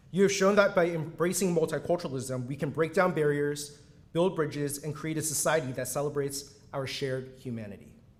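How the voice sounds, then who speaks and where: Somewhat breathy, a man speaks at a fairly quick pace. His pitch is fairly high, with ordinary pitch variation. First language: Mandarin. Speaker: university dean. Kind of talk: ceremonial speech. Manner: formal.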